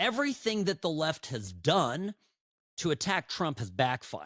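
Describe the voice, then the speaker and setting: The man's voice is captured in a very clean recording with a silent background and a dry, close sound with no echo. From US, born in Chicago to Eastern European parents. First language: Eastern European language. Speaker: political talk show host. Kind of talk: political commentary monologue.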